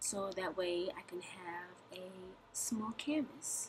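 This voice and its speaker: A woman of medium pitch talks over noticeable background noise. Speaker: beauty vlogger. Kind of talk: tutorial. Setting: recorded voiceover. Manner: halting, stumbling over words.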